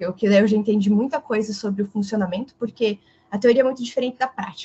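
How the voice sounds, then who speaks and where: A woman speaks at a fairly quick pace in a medium pitch. Her voice is somewhat breathy, with ordinary pitch variation. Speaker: political consultant. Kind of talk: casual chat.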